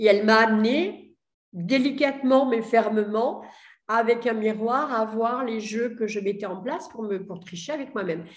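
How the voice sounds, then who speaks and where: Talking at a fairly slow pace, a woman has a fairly high pitch and big swings in loudness. Audible room echo is present. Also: ordinary pitch variation. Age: 60s. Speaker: entrepreneur. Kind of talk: testimony. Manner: hesitant, many fillers.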